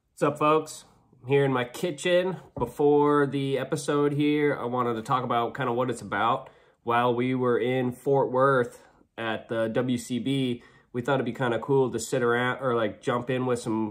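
A man at a moderate pace with fairly even intonation, against a quiet background. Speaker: podcast host. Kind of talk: casual vlog chat. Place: kitchen. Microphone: phone near.

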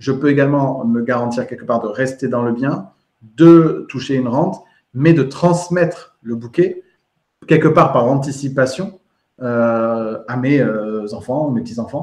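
At a fairly slow pace, a man with a medium pitch and ordinary pitch variation speaks in a room with audible echo and a quiet background. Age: 30s. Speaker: podcast host and real estate trainer; podcast host, real estate trainer. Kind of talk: live interview. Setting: live video stream. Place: home room. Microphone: earbuds.

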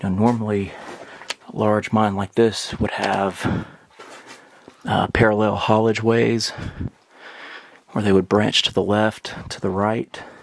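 The speech moves at a fairly slow pace. Long pauses come often. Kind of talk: casual exploration commentary. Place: tunnel cave. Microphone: phone near.

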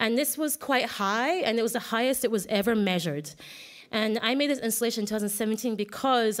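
Her pitch is fairly high and varies in an ordinary way. The woman speaks at a fairly quick pace. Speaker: artist giving a conference talk; conference presenter. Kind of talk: conference presentation. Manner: fast; halting, many restarts. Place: hall.

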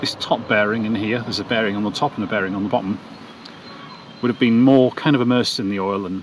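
In a normal speaking voice, a man talks at a fairly low pitch with fairly even intonation, the sound dry with no echo and light background noise behind him. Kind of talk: tutorial. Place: open country. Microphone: phone near.

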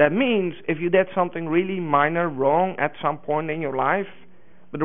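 A man speaks with a Dutch accent at a fairly high pitch. The background is quiet. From Netherlands. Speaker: open source community manager; conference presenter. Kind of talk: conference talk. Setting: stage with audience. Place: hall.

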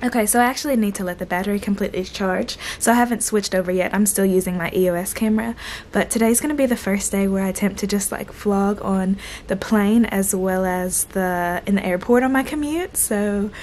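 Light background noise sits behind a woman speaking at a fairly quick pace. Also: ordinary pitch variation. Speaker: flight attendant vlogger. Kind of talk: casual vlog chat. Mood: cheerful, relaxed. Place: home room. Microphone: phone near.

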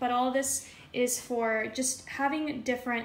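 A woman with a high pitch speaks in a monotone, flat way, with audible room echo and light background noise. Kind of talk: casual vlog chat. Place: kitchen. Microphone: phone near.

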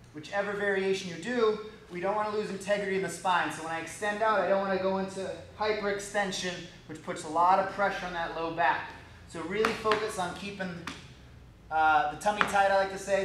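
Amid noticeable background noise and audible room echo, a man talks at a fairly quick pace in a high, monotone voice with flat intonation. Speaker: fitness trainer. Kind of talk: tutorial. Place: gym.

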